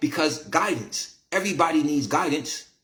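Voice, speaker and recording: A man with an American accent, animated in tone and lively in intonation, amid audible room echo. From Syracuse, New York, US. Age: 50s. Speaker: internet talk show host and commentator. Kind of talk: casual monologue to live chat. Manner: animated, preachy.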